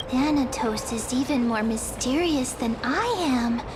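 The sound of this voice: A female-sounding cartoonish character voice, high-pitched for a woman, speaks at a fairly slow pace over loud background noise.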